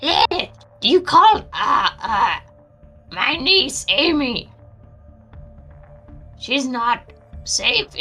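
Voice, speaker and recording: A woman's high-pitched, put-on character voice at a very slow pace, with long, frequent pauses and faint music in the background. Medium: actual play. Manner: paranoid, scattered.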